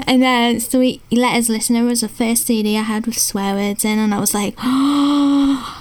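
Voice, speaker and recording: A woman speaks with hardly any pauses and a fairly high pitch. Her intonation stays fairly even, with noticeable background noise behind her. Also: moderate pace. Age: 20s. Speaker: lead vocalist and co-host. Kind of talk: casual chat.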